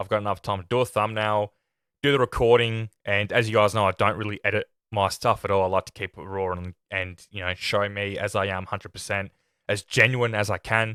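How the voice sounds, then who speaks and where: In a very clean recording with a silent background, a man with a fairly low pitch talks at a fairly quick pace in a flat monotone, his tone bright and sharp and the sound dry and close with no echo. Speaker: film review podcaster. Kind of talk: casual chat, unscripted podcast review. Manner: halting, with self-corrections.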